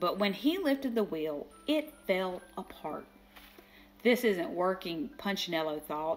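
The reading voice is natural. Its intonation rises and falls in a lively way.

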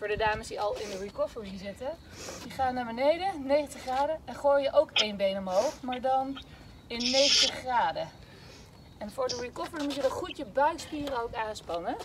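A woman at a moderate pace, with loud background noise. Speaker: fitness instructor. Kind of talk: workout instruction. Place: open country. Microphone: camera far.

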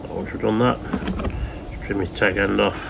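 A man's fairly low voice with vocal fry, moderate pace and fairly even intonation over clear background noise

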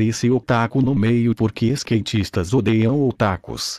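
Speaking with a Brazilian accent at a fairly slow pace, a medium-pitched man is recorded dry and close, with no echo, against a quiet background. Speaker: gaming commentator. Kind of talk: playful gaming commentary, mock sports-style narration of a Habbo trade duel. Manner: animated, exaggerated, joking.

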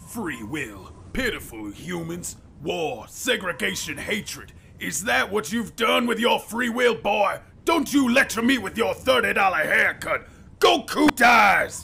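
At a fairly slow pace, a man does a high-pitched, cartoonish character voice. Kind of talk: anime fandub villain. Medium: voice reel. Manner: contemptuous, sneering, grandiose.

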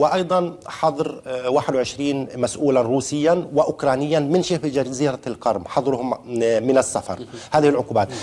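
The speech is fairly slow with ordinary pitch variation. Its loudness stays very even. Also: man, fairly high pitch for a man. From Palestine. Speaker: journalist. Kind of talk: televised panel debate. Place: studio. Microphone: lapel.

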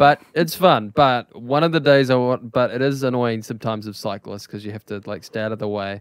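Speaking at a fairly quick pace with hardly any pauses, a man at a medium pitch shows ordinary pitch variation and big swings in loudness, with a dry, close sound and no echo. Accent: New Zealand. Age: 20s. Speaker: podcast host, musician. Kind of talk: casual chat. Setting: online voice call.

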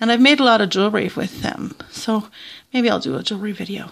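The background is quiet. A woman speaks with a southern Ontario accent. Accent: Southern Ontario Canadian. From Southern Ontario, Canada. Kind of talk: casual vlog chat. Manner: chatty, casual, thinking aloud. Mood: curious, relaxed. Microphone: phone near.

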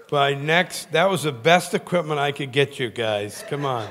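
With light background noise behind him, a man speaks at a moderate pace. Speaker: guest preacher. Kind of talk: sermon. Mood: warm, humorous. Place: church. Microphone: handheld.

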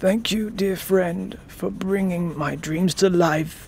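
Someone puts on a character voice at a middle pitch and a fairly slow pace, with clear background noise behind it. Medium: read story. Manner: frustrated, then wondering and grateful.

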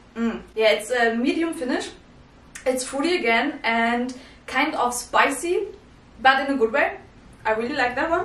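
Speaking at a moderate pace with long, frequent pauses, a woman with a high pitch is heard over audible room echo. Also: lively intonation. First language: not English. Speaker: whisky reviewer. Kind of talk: casual talk to camera. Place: home room.

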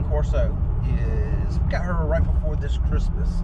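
A man talks at a fairly slow pace. Loud background noise runs under his speech. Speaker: dog owner vlogger. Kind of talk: casual vlog chat. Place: car. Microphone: camera far.

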